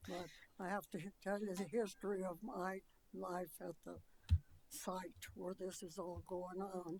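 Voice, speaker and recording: A woman with vocal fry talks at a medium pitch with fairly even intonation. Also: fairly slow pace. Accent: American. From Colorado, Adams County area. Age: 90s. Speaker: resident speaking at public hearing. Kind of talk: public comment testimony. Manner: halting.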